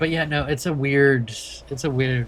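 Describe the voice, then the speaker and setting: The room echo is audible. The speaker goes at a fairly slow pace with ordinary pitch variation. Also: man. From Maine, US. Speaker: streamer. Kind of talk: casual chat. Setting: livestream while playing a truck game.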